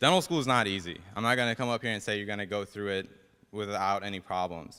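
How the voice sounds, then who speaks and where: A man's fairly low, bright, sharp voice at a fairly quick pace, with ordinary pitch variation. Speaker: dental student. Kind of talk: speech.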